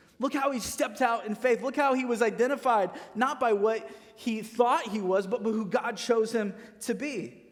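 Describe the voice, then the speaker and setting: Fairly even intonation marks this speech in an American accent. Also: man, extremely high pitch for a man, moderate pace. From Missouri, US Midwest. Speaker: pastor. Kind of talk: sermon. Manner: casual, conversational.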